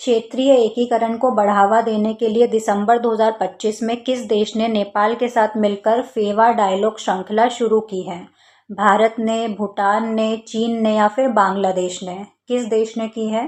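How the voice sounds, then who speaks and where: Fairly slow, monotone and flat speech from a woman against a quiet background. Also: fairly high pitch for a woman, hardly any pauses. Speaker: online exam-prep teacher. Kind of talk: quiz-style exam tutorial.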